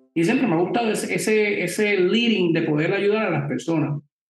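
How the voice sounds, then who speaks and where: Over audible room echo, a man speaks in a high pitch with ordinary pitch variation. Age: 30s. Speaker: podcast panelist, lawyer. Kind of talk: panel discussion, live stream.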